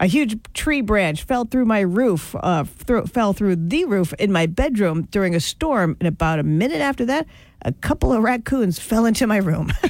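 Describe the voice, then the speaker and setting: Her voice has an animated, bubbly tone and very wide pitch swings at medium pitch, and this woman talks with hardly any pauses and very even loudness. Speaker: radio host. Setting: radio studio. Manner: animated, laughing, bubbly and quick.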